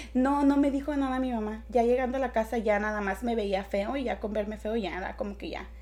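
A woman talks at a fairly quick pace with hardly any pauses, her pitch fairly high and its variation ordinary. Audible echo fills the room. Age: 20s. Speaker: podcast guest. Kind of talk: casual chat.

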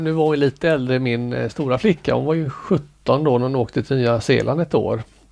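An ordinary speaking voice moves at a fairly quick pace with ordinary pitch variation and hardly any pauses. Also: man. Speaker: amateur ballroom dancer. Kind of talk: casual interview.

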